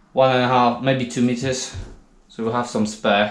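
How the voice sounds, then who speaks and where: A man is heard with audible room echo around his voice. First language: not English. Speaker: DIY tradesman. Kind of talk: DIY tutorial. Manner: casual, halting.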